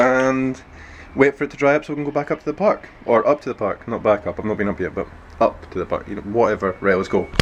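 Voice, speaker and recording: A man talks at a very fast pace in a medium pitch with lively intonation. Noticeable background noise sits behind him. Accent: Scottish. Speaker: BMX vlogger. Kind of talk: casual vlog. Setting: outdoors. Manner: halting.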